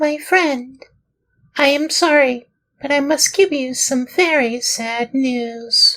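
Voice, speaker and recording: In a put-on character voice, the speaker talks at a high pitch and a very slow pace. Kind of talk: children's audiobook reading. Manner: sorrowful, gentle.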